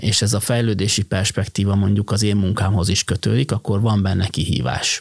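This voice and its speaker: Somewhat breathy and fairly low in pitch, a man talks at a fairly slow pace in a dry, close sound with no echo. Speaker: logistics company managing director. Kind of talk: interview.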